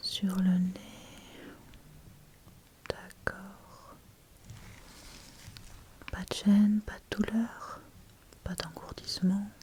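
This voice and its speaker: Someone whispers in a gentle tone at a very slow pace, with long, frequent pauses. Noticeable background noise sits under the voice. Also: woman. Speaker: ASMR creator playing a doctor. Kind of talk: ASMR medical roleplay, addressing the listener as a patient. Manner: soft-spoken, gentle, slow; whispered, soft.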